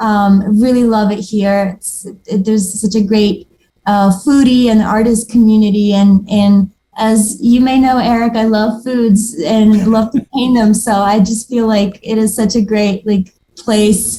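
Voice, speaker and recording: Somewhat breathy and dark, mellow in tone, a woman speaks fairly slowly at a fairly high pitch with monotone, flat intonation. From Moldova. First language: Moldovan and Russian. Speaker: watercolor artist. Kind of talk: casual interview chat.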